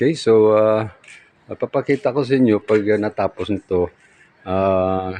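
A man talks with ordinary pitch variation. The sound is dry and close with no echo, though background noise is noticeable. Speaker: vlogger and street food vendor. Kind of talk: casual vlog house tour. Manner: halting, frequent fillers.

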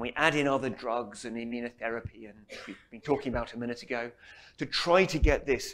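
The man talks at a moderate pace with lively intonation. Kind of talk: lecture. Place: hall. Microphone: lapel.

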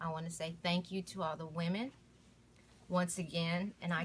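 Her fairly low, somewhat breathy voice stays monotone and flat, with light background noise behind the woman. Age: 40s. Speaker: domestic violence survivor. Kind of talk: testimony. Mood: grateful, earnest. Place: home room. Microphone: phone near.

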